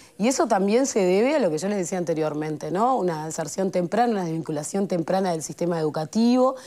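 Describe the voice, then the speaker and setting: A woman with a fairly low pitch and lively intonation at a very fast pace. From Uruguay, Montevideo (Cerro Norte); Uruguay. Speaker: government social development official; guest. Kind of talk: talk show interview. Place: studio. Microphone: lapel.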